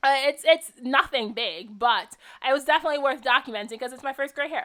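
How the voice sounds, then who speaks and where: A woman's high, bright, sharp voice with big swings in loudness and ordinary pitch variation, on a very clean recording with a silent background. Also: fairly quick pace. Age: 20s. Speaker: craft video creator. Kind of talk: tutorial. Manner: casual, filler-heavy.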